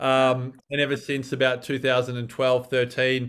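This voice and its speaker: Speaking at a moderate pace with an Australian accent, a man keeps a flat, monotone delivery at medium pitch over a quiet background. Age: 40s. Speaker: former journalist and longevity researcher. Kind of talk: casual interview.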